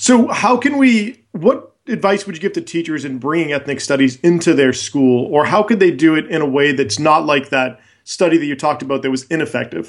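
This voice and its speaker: A man with a fairly high voice talks at a fairly quick clip with lively intonation and hardly any pauses, in an unremarkable speaking voice. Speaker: high school teacher. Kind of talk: podcast interview.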